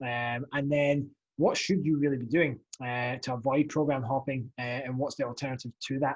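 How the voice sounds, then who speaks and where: Speaking with a Scottish accent, a man keeps a fairly quick pace at a medium pitch. His voice is somewhat breathy with fairly even intonation. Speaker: fitness coach and podcast host. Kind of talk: podcast monologue. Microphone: new USB podcast mic.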